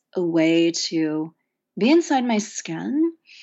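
At a very slow pace, a woman with an American accent speaks at a fairly low pitch with lively intonation. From rural Oklahoma, US. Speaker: poet and professor. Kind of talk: interview conversation. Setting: studio.

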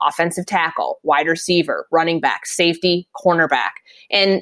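At a moderate pace and fairly low pitch, a woman with a Minnesotan accent talks with ordinary pitch variation, recorded dry and close with no echo. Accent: Minnesota. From Minnesota, US Midwest. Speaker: NFL reporter. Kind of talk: casual chat.

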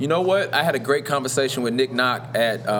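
A man with an American accent and ordinary pitch variation, against noticeable background noise. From Louisville, Kentucky. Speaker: podcast host. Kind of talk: casual chat. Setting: live recording in a store.

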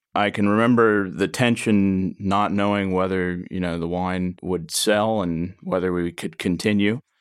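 A man with a fairly low voice speaks in an unremarkable speaking voice, his intonation fairly even. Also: very clean recording, silent background. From Oregon. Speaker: winemaker. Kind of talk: casual chat.

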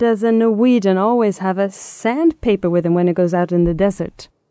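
A woman with a Swedish accent speaks at a medium pitch and a fairly quick pace, in a dark, mellow tone. Her lively intonation sits in a dry, close sound with no echo. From Sweden, Stockholm. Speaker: language and culture expert. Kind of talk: interview.

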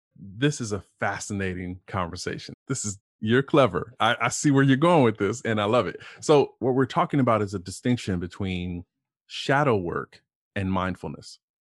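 This man has a normal speaking voice and an American accent, pitched fairly low with lively intonation at a moderate pace. The background is quiet, and the sound is dry and close with no echo. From Ohio, US Midwest. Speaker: executive coach. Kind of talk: casual interview conversation.

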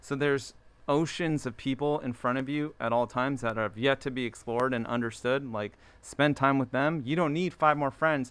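A man talks at a moderate pace in a plain, everyday voice, with fairly even intonation. The recording is very clean, with a silent background. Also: medium pitch for a man. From US, Maryland (Baltimore area). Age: 40s. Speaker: streetwear designer and brand founder. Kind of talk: casual chat.

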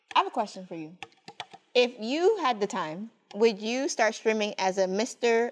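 A woman speaks at a moderate pace in a fairly high pitch with an ordinary speaking voice, her intonation lively and her loudness swinging widely. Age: 20s. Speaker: podcast co-host. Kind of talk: casual chat. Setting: studio.

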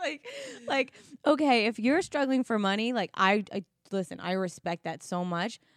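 A woman in an American accent, moderate in pace, with an animated tone and lively intonation. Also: dry, close sound with no echo. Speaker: podcast co-host and makeup artist. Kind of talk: casual chat.

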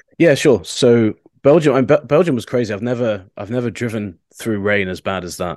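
A man with a British accent speaks at a fairly quick clip, his pitch in the middle range. His intonation is lively, and his loudness swings widely. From England. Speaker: motorsport journalist. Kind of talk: casual podcast chat.

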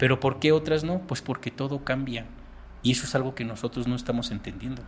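This man's fairly high voice races along at a very fast pace. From Mexico. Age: 40s. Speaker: paranormal researcher. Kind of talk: casual chat.

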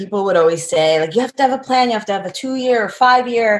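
Her delivery is very fast. This woman's intonation rises and falls in a lively way. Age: 40s. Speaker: professional skydiver. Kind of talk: interview. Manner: laid back.

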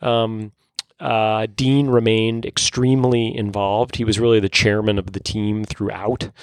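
In a dry, close sound with no echo, a man with an American accent speaks at a medium pitch with monotone, flat intonation, at a fairly slow pace, with hardly any pauses. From New York. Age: 40s. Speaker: newspaper columnist and editor. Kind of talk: interview.

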